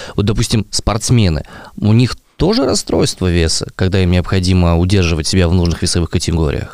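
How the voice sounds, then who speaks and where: Speaking at a fairly quick pace, a man with a very deep, low pitch keeps his loudness very even and his pitch variation ordinary. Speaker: podcast host. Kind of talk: casual chat.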